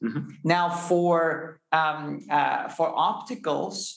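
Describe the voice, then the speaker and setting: A man with a fairly high-pitched voice. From Austria. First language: German. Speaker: space company founder and CEO. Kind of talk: interview conversation. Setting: in-person recording. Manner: hesitant with fillers.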